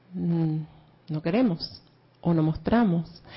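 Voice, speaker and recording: Somewhat breathy, a woman speaks in a fairly low pitch. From Venezuela. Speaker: class participant. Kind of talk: group class discussion.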